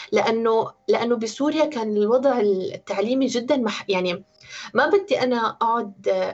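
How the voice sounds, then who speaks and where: Fairly high-pitched woman's voice in a Syrian accent, at a fairly slow pace with ordinary pitch variation. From Syria, Homs. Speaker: interviewee. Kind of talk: personal testimony.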